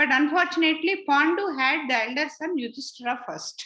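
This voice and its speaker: A raised, projected woman's voice, high-pitched with a bright, sharp tone. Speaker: spiritual teacher. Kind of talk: lecture. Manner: halting.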